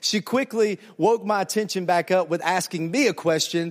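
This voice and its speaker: With a Southern US accent, a man speaks in an animated tone at a high pitch. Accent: Southern American. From US South, Alabama. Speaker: pastor. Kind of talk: sermon. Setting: church with audience, interpreted.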